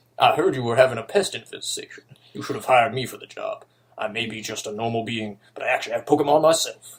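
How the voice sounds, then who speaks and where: Putting on a character voice, a man at a medium pitch talks at a very fast pace with big swings in loudness. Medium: read story. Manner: brash, swaggering.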